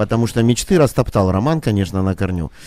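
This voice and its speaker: The tone is dark and mellow, and the pace fairly quick. The recording is very clean, with a silent background. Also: man. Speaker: restaurant manager. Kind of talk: casual chat.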